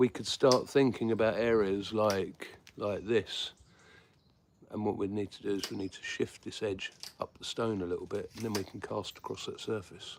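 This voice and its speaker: This man has a southeast English accent and keeps a moderate pace. His loudness swings a lot. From southeast England. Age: 50s. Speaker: flintknapper and prehistoric skills teacher. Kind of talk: live-stream tutorial with chat replies. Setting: live stream. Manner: casual, hesitant with many fillers.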